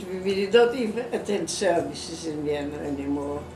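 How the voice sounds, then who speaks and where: A woman at a moderate pace, ordinary pitch variation, noticeable background noise behind her. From Czech Republic. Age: 80s+. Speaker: Holocaust survivor. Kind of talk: interview answer.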